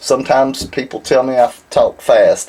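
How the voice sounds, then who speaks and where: A man in a Southern US accent over noticeable background noise. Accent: southern drawl. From Alabama, US South. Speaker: silver refining instructor. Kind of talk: tutorial. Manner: casual, conversational.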